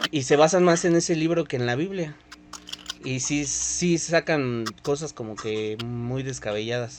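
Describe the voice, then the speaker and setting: A man talks fairly slowly with ordinary pitch variation while noticeable background noise sounds behind him. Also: medium pitch for a man. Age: 20s. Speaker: podcast host. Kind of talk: casual chat.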